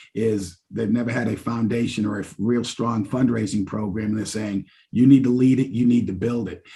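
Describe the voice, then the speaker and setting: A man speaks at medium pitch, somewhat breathy, in a dark, mellow tone. His intonation stays fairly even. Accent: American. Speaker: university fundraising executive. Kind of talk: podcast interview.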